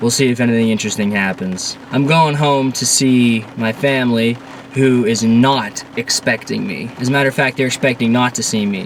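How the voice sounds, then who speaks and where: The speaker has a Pennsylvania accent and fairly even intonation, moving at a moderate pace with hardly any pauses. Noticeable background noise runs underneath. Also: man, medium pitch for a man. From Central Pennsylvania. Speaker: vlogger. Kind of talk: casual vlog. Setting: in a car.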